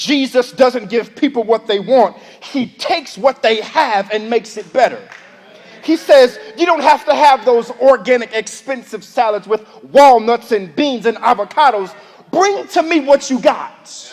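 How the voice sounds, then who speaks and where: Amid noticeable background noise, a man with an extremely high pitch talks at a fairly slow pace in an energetic tone with ordinary pitch variation. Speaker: preacher. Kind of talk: sermon delivered to a congregation. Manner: energetic, conversational, preaching.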